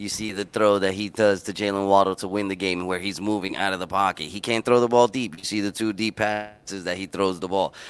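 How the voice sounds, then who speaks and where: A man speaks fairly quickly with hardly any pauses. His fairly low voice stays monotone and flat. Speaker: podcast host. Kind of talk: casual sports podcast chat.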